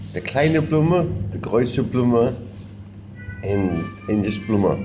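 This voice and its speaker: A male voice with very wide pitch swings, audible room echo and music in the background. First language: Yiddish. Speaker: interviewee sharing family history. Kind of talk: oral history interview.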